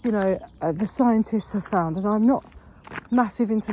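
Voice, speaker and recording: A woman speaks at a medium pitch. Noticeable background noise runs behind her. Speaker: manifestation vlogger. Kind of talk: casual vlog monologue. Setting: outdoors, walking in woods. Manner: walking while talking.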